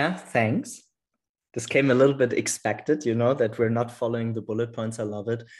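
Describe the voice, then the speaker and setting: Against a quiet background, a man speaks with a non-native accent. His intonation is fairly even. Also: medium pitch for a man, fairly quick pace. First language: not English. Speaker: podcast host. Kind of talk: casual chat. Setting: video call.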